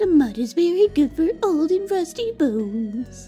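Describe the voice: In a put-on character voice, a woman talks at a moderate pace with an extremely high pitch and very wide pitch swings. Clear music plays in the background.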